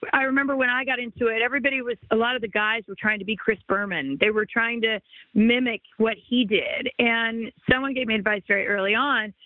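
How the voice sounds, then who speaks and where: A woman with an American accent talks at a fairly high pitch with ordinary pitch variation, in an ordinary speaking voice. Her pace is fairly quick, with hardly any pauses. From US West Coast, Los Angeles area. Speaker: former sports anchor, now realtor. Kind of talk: podcast interview.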